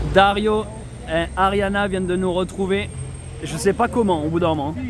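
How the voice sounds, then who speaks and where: Speaking at a moderate pace with fairly even intonation, the voice comes through noticeable background noise and audible room echo. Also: man, high pitch for a man. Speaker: travel vlogger. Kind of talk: vlog narration.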